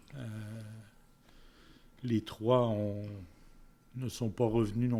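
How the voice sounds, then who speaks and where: A man speaks very slowly in a dark, mellow tone with monotone, flat intonation. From Quebec (Quebec City area), then France (Orléans region) ages 7-17. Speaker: community volunteer, senior interviewee. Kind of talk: interview. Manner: halting, many fillers.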